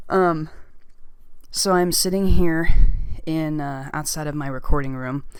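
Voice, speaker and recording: With audible room echo, a woman with an American accent speaks at a very deep, low pitch, with fairly even intonation, big swings in loudness, and long, frequent pauses. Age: 30s. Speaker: ASMR YouTuber. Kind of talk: casual Q&A monologue. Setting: home, outside recording room. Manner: rambling with fillers.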